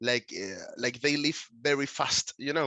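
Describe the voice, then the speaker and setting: This man speaks with a Spanish accent and fairly even intonation. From Canary Islands, Tenerife (Puerto de la Cruz). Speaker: concept photographer, artist. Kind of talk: interview. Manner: halting, many fillers.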